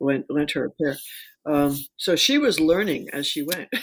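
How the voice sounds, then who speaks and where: A woman with an American accent talks at a moderate pace. Her pitch is very deep and low, captured in a very clean recording over a silent background. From US Northeast. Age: 70s. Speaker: rock climber. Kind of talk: casual chat. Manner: halting.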